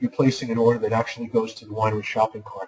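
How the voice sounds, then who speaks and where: His voice is somewhat breathy, at a medium pitch for a man. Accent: New York. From New York. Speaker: university lecturer. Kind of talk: online lecture. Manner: fast.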